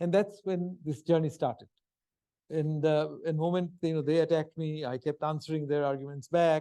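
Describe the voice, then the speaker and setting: Speaking at a moderate pace in a Bengali accent, a man with a fairly high pitch keeps a fairly even intonation and a dark, mellow tone. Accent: Bengali Indian English. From India, Calcutta. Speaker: history professor. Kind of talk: lecture. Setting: stage with audience.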